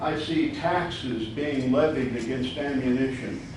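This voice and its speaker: Speaking at a fairly slow pace with an American accent, a man is heard amid noticeable background noise and audible room echo. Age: 70s. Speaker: citizen addressing county officials. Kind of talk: public comment speech.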